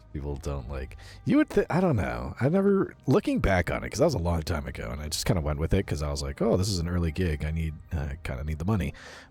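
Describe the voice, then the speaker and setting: Very fast speech with lively intonation over music in the background. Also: man, very deep, low pitch for a man. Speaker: VTuber streamer. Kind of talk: gaming livestream chat. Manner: quiet when off mic, projects on mic; casual, reads chat and game lines.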